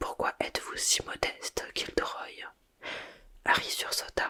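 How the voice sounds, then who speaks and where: Noticeable background noise fills the clip. Through it, a woman whispers at a fairly slow pace. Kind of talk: whispered ASMR audiobook reading for sleep. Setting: ASMR microphone recording. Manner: whispered, soft.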